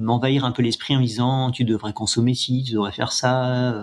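His intonation is monotone and flat. The man's voice sits at a medium pitch. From France, Yvelines. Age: 50s. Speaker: ultra trail runner. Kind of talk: interview. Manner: halting, many repetitions.

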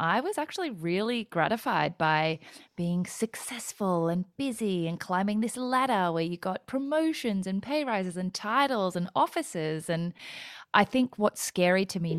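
A woman with an Australian accent speaks at a medium pitch and moderate pace, her bubbly tone full of very wide pitch swings. The recording is very clean, with a silent background and a dry, close sound with no echo. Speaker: entrepreneur and podcaster, former lawyer. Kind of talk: casual interview chat.

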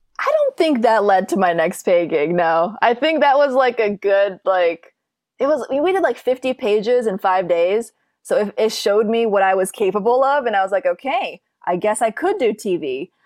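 A woman with an American accent has a normal speaking voice and lively intonation. She talks at a moderate pace over a quiet background. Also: fairly high pitch for a woman, dry, close sound with no echo. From Minnesota, US Midwest. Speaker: film and TV director. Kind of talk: casual interview.

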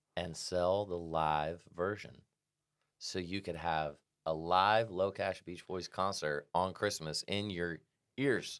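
Speaking at a very slow pace with an American accent, this voice keeps a fairly even intonation over a very clean recording with a silent background. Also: man, very deep, low pitch for a man. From Indiana, US Midwest. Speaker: country music singer. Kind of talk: casual chat. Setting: studio.

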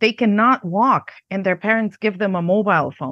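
The voice carries a Macedonian accent. It moves at a moderate pace. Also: woman. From Yugoslavia, Macedonia. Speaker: negotiation trainer and lecturer. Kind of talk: interview answers.

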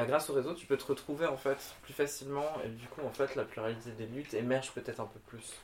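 Against noticeable background noise, a man with a medium pitch speaks at a very fast pace with fairly even intonation and big swings in loudness. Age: 30s. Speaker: drag queen. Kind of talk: casual chat. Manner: hesitant, many fillers.

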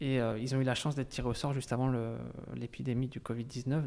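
On a very clean recording with a silent background, a medium-pitched man speaks at a fairly quick pace. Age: 20s. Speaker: emigrant to Canada. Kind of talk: interview. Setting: over lunch. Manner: hesitant.

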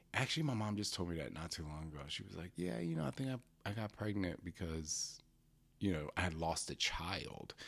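Speaking at a fairly quick pace, a man with an American accent has a very deep, low pitch. His tone is animated, with ordinary pitch variation. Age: 40s. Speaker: podcast host. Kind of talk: personal storytelling.

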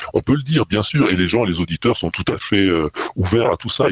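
A man's very deep, low voice with lively intonation at a very fast pace, dry and close with no echo, over noticeable background noise. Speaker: podcaster. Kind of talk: interview. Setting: remote call. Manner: halting.

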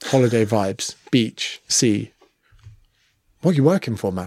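A man with an English accent speaks at a fairly slow pace with lively intonation. The recording is very clean, with a silent background. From England. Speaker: personal trainer and comedian. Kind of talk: casual chat.

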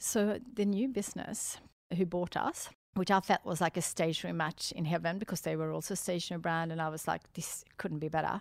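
A woman with a Swedish accent speaks at a fairly quick pace with ordinary pitch variation in a very clean recording with a silent background. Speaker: entrepreneur. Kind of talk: interview. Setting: studio. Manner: upbeat, animated.

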